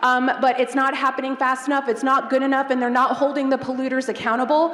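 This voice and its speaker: Amid noticeable background noise, a woman speaks loudly with a high pitch. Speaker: eco tour company owner. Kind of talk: audience question at Q&A.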